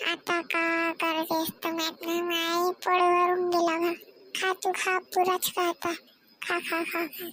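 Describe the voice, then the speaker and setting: A cartoonish character voice, fairly slow in pace, with monotone, flat intonation. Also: woman, extremely high pitch for a woman. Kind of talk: comic cartoon dialect acting. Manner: coarse, teasing, quick.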